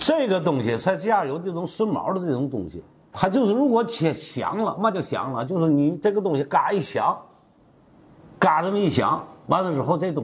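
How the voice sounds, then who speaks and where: A man talks with lively intonation at a high pitch. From Tianjin, China; China. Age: 60s. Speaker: master carpenter. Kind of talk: tutorial. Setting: workshop. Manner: casual, repetitive. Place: workshop. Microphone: lapel.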